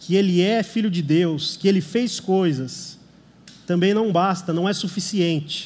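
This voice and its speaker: Audible room echo surrounds a man who speaks fairly slowly in a high voice with ordinary pitch variation. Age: 30s. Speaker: lay preacher. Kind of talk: sermon. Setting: church service.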